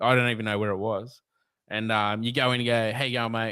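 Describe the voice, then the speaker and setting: On a very clean recording with a silent background, a man speaks. He has an Australian accent and a medium pitch. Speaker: reptile keeper and snake catcher. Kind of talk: casual chat.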